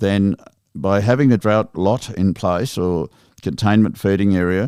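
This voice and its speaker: Speaking at a fairly slow pace, a man with an Australian accent has a fairly low pitch, a dark, mellow tone, ordinary pitch variation and very even loudness, in a dry, close sound with no echo. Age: 60s. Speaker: sheep station manager. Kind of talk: podcast interview.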